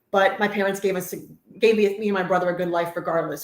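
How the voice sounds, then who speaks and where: Very fast and in a monotone, flat intonation, a woman with a New Jersey accent speaks at a medium pitch. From New Jersey, Woodbridge Township. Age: 40s. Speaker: host's wife, cleaning business owner. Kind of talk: casual chat.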